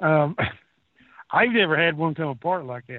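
This man has an American accent and a fairly high pitch. He talks at a moderate pace with ordinary pitch variation. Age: 50s. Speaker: regular panelist. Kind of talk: heated political rant. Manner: angry, profane, ranting.

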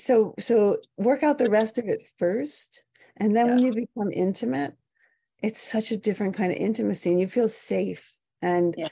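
Over a quiet background, a woman speaks with a normal speaking voice at a moderate pace and a fairly high pitch. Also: ordinary pitch variation. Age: 40s. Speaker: yoga teacher and skincare founder. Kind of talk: interview.

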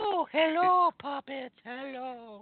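A high-pitched, put-on character voice

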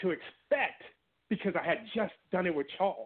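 Here a man with an American accent talks at a moderate pace. His pitch is high and his intonation lively. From Washington D.C. and Maryland area. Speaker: novelist and actor. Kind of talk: casual interview.

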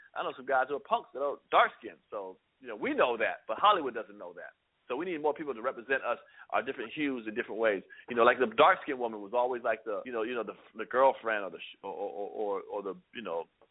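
A man talks at a very fast pace in an animated tone, with big swings in loudness. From Germany (US military family). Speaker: comedian. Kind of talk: casual interview.

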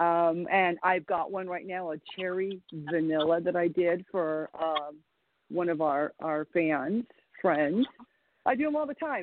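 A woman's unremarkable speaking voice, fairly low in pitch, with ordinary pitch variation and a fairly slow pace. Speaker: women's wrestler. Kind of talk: casual chat. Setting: phone call.

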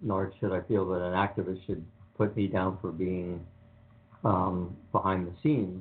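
Audible room echo surrounds a man speaking at a moderate pace in a low pitch.

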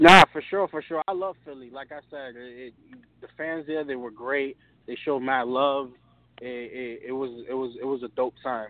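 A man with an American accent uses an ordinary speaking voice at a medium pitch and moderate pace. His pitch variation is ordinary, with big swings in loudness. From Brooklyn, New York. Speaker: rapper. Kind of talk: casual interview.

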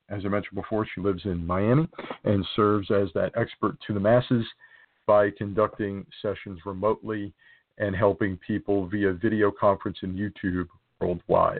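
At a moderate pace, a man talks in a fairly low voice with fairly even intonation. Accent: American. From New Jersey. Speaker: podcast host. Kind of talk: interview.

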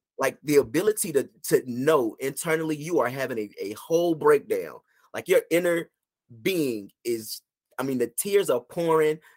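A normal speaking voice with an American accent moves at a moderate pace with lively intonation. The sound is dry and close, with no echo. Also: man, fairly high pitch for a man. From rural US. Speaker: licensed therapist. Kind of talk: casual chat.

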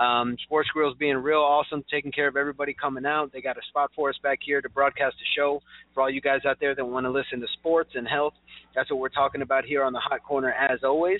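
Talking very fast, a man with a fairly high pitch keeps his intonation monotone and flat. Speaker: sports podcast host and chiropractor. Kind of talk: casual sports talk show. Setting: broadcasting live from a sports bar.

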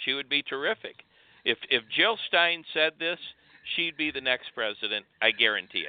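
A man's unremarkable speaking voice, fairly high in pitch, with lively intonation at a moderate pace. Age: 60s. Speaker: guest advocate. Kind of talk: casual chat. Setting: phone call.

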